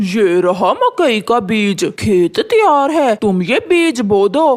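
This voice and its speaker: A cartoonish character voice talks fairly slowly at a fairly high pitch. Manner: lazy, sly.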